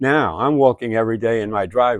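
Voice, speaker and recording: There is a man talking. He shows ordinary pitch variation. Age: 90s. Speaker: WWII veteran. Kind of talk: interview answer.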